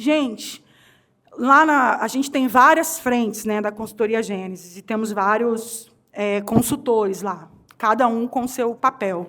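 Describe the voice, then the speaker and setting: The voice has a bright, sharp tone and ordinary pitch variation, moving at a fairly slow pace on a very clean recording with a silent background. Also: woman. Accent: Rio de Janeiro. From Rio de Janeiro, Brazil. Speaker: HR consultant and speaker. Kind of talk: conference talk. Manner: animated.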